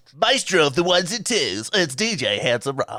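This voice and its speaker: Adopting a put-on character voice, a man pitches it high and keeps a moderate pace. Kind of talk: DJ drop, over-the-top. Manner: boastful, announcer-style drop.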